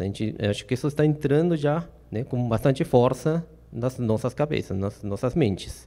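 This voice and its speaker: A man with a Peruvian accent speaks at a moderate pace in a dark, mellow tone. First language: Spanish (speaking Portuguese). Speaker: safety trainer. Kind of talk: lecture. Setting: stage with audience. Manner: hesitant, many fillers.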